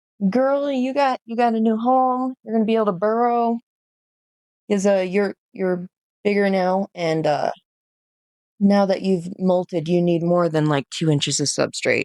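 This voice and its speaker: A woman speaks at a fairly slow pace with very wide pitch swings. The sound is dry and close, with no echo. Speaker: exotic pet keeper vlogger. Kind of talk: casual vlog tutorial. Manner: hesitant, many fillers.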